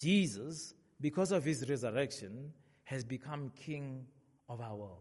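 The voice is somewhat breathy, with lively intonation, big swings in loudness and a fairly slow pace. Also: man, medium pitch for a man. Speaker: preacher. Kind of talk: sermon. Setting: church. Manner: animated.

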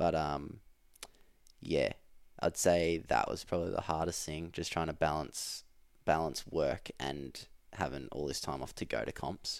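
A man with an Australian accent, very deep and low, with vocal fry, a fairly slow pace, fairly even intonation and long, frequent pauses. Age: 20s. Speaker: elite CrossFit athlete. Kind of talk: casual chat.

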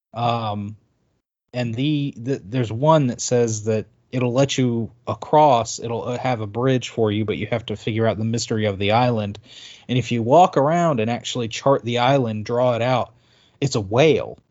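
This man has an unremarkable speaking voice pitched in the medium range. He keeps a moderate pace with fairly even intonation. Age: 30s.

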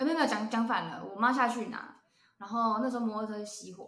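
A woman with a fairly high pitch talks at a fairly quick pace in a room with audible echo. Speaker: podcast co-host. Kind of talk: casual chat.

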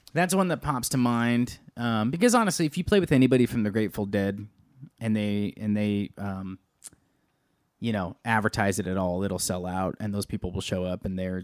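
A man speaks in an ordinary speaking voice with ordinary pitch variation, on a very clean recording with a silent background. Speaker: podcast co-host and band drummer. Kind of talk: casual chat. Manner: joking, playful.

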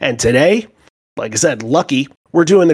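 An enthusiastic-sounding man at a moderate pace. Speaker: podcast host. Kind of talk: casual podcast chat.

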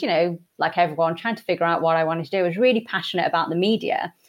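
With a Yorkshire accent, a woman talks using ordinary pitch variation. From Yorkshire, England. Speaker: Goldman Sachs executive director. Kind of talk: casual interview chat. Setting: studio, in person in an office.

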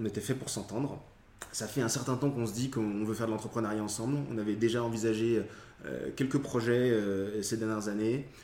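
Speaking at a fairly quick pace, a man with a medium pitch and a dark, mellow tone keeps his intonation fairly even while audible room echo fills the space. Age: 30s. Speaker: entrepreneur. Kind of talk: interview. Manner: halting.

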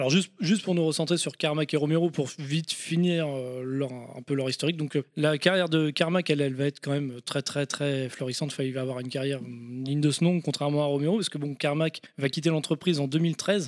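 In a plain, everyday voice, a man speaks at a fairly quick pace with hardly any pauses, fairly high pitch and fairly even intonation, on a very clean recording with a silent background. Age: 30s. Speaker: video game podcast guest. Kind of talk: casual chat.

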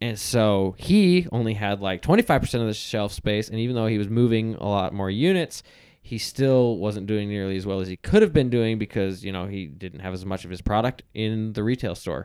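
With an ordinary speaking voice, a man talks at a moderate pace and a fairly low pitch, using ordinary pitch variation and hardly any pauses. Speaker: podcast host. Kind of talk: casual banter podcast.

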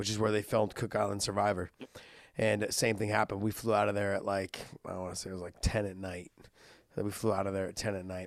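A man talks at a very fast pace in a fairly low pitch. His intonation stays monotone and flat. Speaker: MMA podcast co-host, former fighter. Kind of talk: casual chat. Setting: podcast recorded remotely. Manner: loud.

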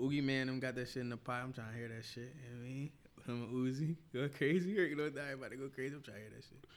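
Talking at a very fast pace, a man's voice shows big swings in loudness. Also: medium pitch for a man. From North Philadelphia. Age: 20s. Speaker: podcast guest, hip hop personality. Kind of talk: casual chat. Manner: animated.

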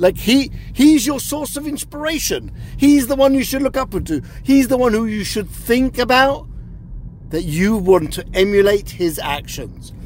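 Noticeable background noise sits under a man speaking at a moderate pace. His pitch is extremely high, with lively intonation. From South Africa. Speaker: media watchdog analyst and advocate. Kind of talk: interview.

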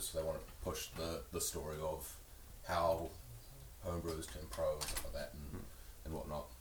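A man with a New Zealand accent is heard with audible room echo and noticeable background noise. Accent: Kiwi. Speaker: podcast co-host. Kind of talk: casual chat. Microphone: came through quieter than co-host.

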